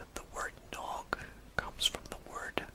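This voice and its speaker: A man whispers in a gentle tone over noticeable background noise. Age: 30s. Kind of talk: ASMR fact narration. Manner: whispered, gentle.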